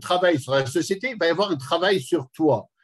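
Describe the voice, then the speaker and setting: Against a quiet background, a man speaks with lively intonation. His pitch is fairly high. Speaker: educator. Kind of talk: lecture. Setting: conference hall with audience. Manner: fast; animated.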